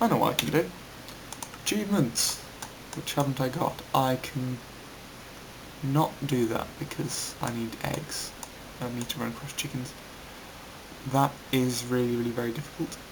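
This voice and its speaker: A man with a British accent speaks quietly at a moderate pace, his medium pitch carrying ordinary variation. Long pauses come often, over noticeable background noise. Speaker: gaming YouTuber, game developer. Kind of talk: gameplay commentary. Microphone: voice sounds quiet.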